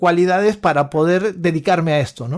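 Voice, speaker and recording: This man's voice is high in pitch. He talks at a fairly quick pace. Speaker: opera tenor. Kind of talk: casual chat. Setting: remote call.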